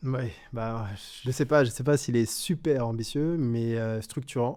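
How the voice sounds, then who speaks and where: In a dark, mellow tone, a medium-pitched man speaks at a very slow pace with ordinary pitch variation. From Guadeloupe. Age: 20s. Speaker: engineer and company cofounder. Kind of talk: podcast interview. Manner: hesitant, many fillers.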